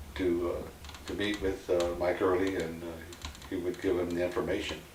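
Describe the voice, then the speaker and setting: Audible room echo and noticeable background noise surround a man who talks at a fairly quick pace. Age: 70s. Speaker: tragedy survivor. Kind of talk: personal testimony. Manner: halting, many fillers.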